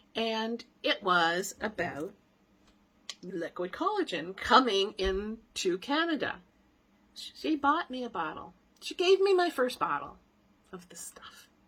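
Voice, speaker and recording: A woman with a fairly high pitch speaks at a very slow pace, with long, frequent pauses, big swings in loudness and very wide pitch swings over noticeable background noise. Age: 60s. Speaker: business owner and health product promoter. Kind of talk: personal testimony. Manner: casual, conversational.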